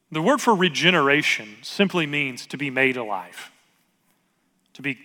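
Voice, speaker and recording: With a slight Southern US accent, a man talks at a fairly high pitch in a bright, sharp tone with lively intonation. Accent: slight southern US drawl. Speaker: pastor. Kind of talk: sermon.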